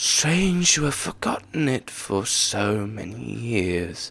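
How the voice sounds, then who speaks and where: In a soft-spoken put-on character voice, a man talks very slowly at a fairly low pitch. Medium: read story. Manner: calm and solemn.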